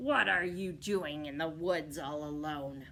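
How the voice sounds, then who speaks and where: A woman speaks at a fairly slow pace in a put-on character voice, growling and raspy with a very deep, low pitch, over clear background noise. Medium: read story. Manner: sly, scheming.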